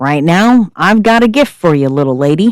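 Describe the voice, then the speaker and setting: A gruff, put-on character voice at a middle pitch. The pace is moderate. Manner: warm, slightly chuckling.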